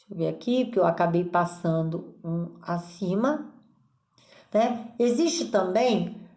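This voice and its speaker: A woman speaks at a very slow pace. There is audible echo in the room. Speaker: nursing teacher. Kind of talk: lecture.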